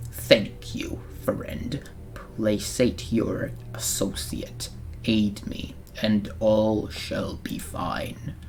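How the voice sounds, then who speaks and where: A whispered, put-on character voice at a very slow pace. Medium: read story. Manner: terse, commanding, broken phrasing.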